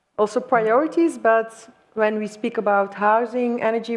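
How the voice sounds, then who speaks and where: A woman's fairly high voice in a Flemish accent, at a moderate pace, with fairly even intonation. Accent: Flemish Dutch accent in English. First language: Dutch. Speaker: panel moderator. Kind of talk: panel discussion.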